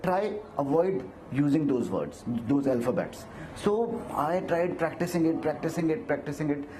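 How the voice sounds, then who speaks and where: With an Indian accent, a man talks at a moderate pace with lively intonation. Noticeable background noise and audible room echo fill the recording. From India, Himachal Pradesh village. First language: Hindi. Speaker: actor, model and motivational speaker. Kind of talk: interview on stage. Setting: stage with audience at event. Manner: hesitant, frequent fillers.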